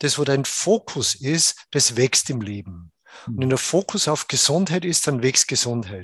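This man's voice sits at a medium pitch, somewhat breathy, with very wide pitch swings at a fairly slow pace. The sound is dry and close with no echo, against a quiet background. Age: 60s. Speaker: Ayurveda doctor. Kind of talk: interview.

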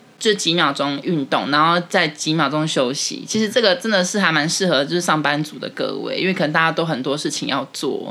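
With a very deep, low pitch, a woman talks with ordinary pitch variation. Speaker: podcast co-host, office worker. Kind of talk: casual chat.

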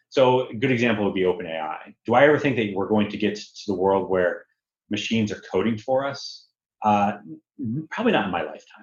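A man with an American accent speaks at a fairly quick pace in a plain, everyday voice, his fairly low pitch showing ordinary variation. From US Northeast, Connecticut. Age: 40s. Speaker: tech executive. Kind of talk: interview.

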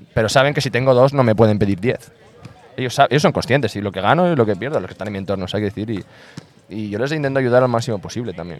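A man talks at a very fast pace with lively intonation. His pitch is medium. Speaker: basketball coach. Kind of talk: casual interview chat. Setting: outdoor basketball court.

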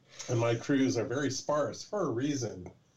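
In a Californian accent, a man talks at a fairly slow pace, somewhat breathy, with fairly even intonation. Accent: Californian American. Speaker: documentary filmmaker. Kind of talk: casual interview.

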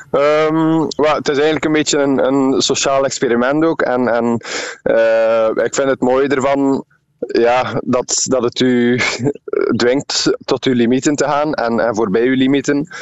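A man speaks at medium pitch and a fairly slow pace. His loudness is very even, and his intonation fairly even. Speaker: ultramarathon runner. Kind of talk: radio interview.

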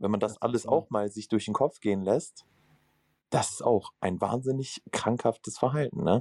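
A man with an unremarkable speaking voice talks at a moderate pace and medium pitch, the sound dry and close with no echo. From northern Germany. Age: 20s. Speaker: recovering gambling addict. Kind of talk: self-help group conversation.

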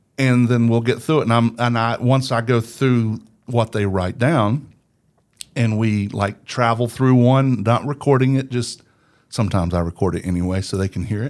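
An unremarkable speaking voice moves at a moderate pace with ordinary pitch variation in a very clean recording with a silent background. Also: man, medium pitch for a man. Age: 50s. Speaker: podcast producer and voice actor. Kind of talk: casual interview chat. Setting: studio.

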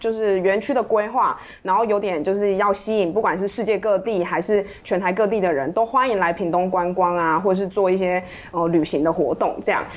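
In an unremarkable speaking voice, a woman talks at a medium pitch and a fairly quick pace, with very even loudness and ordinary pitch variation. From Taiwan, Pingtung. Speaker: journalist. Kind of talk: interview conversation.

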